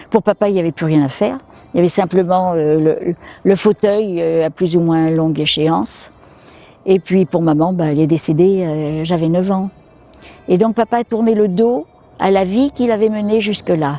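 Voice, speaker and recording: A woman's fairly low, dark, mellow voice with ordinary pitch variation. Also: moderate pace, dry, close sound with no echo. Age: 80s+. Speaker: interviewee, daughter of a natural medicine pioneer. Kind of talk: interview testimony. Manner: hesitant with fillers.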